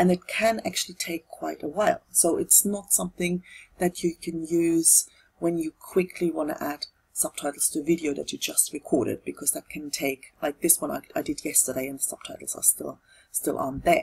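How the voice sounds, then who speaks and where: With a German accent, a woman speaks at a moderate pace in a dry, close recording with no echo. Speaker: tutorial video creator. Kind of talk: tutorial. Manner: halting, with fillers and repetitions.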